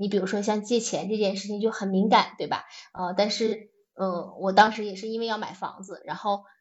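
A woman speaks fairly quickly at a medium pitch, flat in intonation but with big swings in loudness. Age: 40s. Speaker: teacher turned manager. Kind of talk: personal reflection talk. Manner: halting, many fillers.

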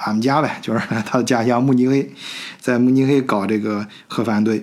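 Moderate-paced speech with audible room echo. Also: man. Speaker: podcast host. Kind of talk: solo podcast monologue. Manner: casual with many fillers.

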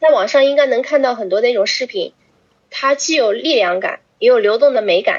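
Her voice high and her intonation lively, a woman speaks at a fairly quick pace. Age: 20s. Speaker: yoga teacher. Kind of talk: casual chat.

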